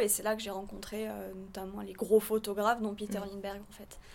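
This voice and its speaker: This woman talks at a medium pitch. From southern France. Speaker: photographer. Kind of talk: interview.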